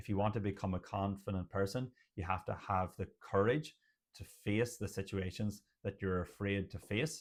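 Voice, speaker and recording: This man has a fairly low pitch and an Irish accent. He talks at a moderate pace with fairly even intonation. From Ireland. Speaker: general practitioner doctor. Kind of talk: educational talk to camera.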